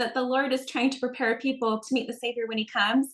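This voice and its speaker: A woman with a Utah accent and a high pitch. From Utah, Salt Lake County. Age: 40s. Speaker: religious video creator. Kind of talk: interview.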